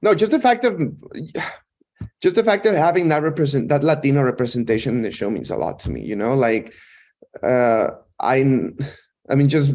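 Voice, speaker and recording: A man with a Mexican accent. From Mexico. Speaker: actor. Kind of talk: interview chat. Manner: halting, many repeated words.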